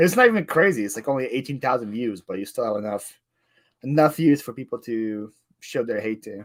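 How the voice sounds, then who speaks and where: Lively intonation marks a man's voice at a fairly quick pace. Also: medium pitch for a man, big swings in loudness, very clean recording, silent background. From Ukraine, moved to US at eight. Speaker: reseller, YouTuber. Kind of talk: casual chat.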